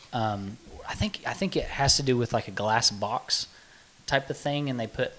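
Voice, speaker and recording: With an American accent, a man speaks at a moderate pace in a medium pitch with ordinary pitch variation, light background noise behind him. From Oklahoma. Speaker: podcast co-host. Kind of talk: casual chat. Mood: relaxed, friendly. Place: meeting room. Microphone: studio mic.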